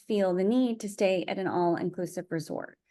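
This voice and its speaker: Against a quiet background, a woman talks in an ordinary speaking voice at a medium pitch and a moderate pace. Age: 40s. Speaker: vlogger and marathon runner. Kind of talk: casual vlog monologue. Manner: rambling, with many fillers.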